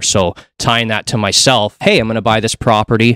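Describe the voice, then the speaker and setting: A man with a Canadian accent and an ordinary speaking voice, fairly low in pitch, at a fairly quick pace, in a very clean recording with a silent background and a dry, close sound with no echo. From Canada, Hamilton, Ontario. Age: 30s. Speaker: mortgage broker. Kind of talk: podcast interview.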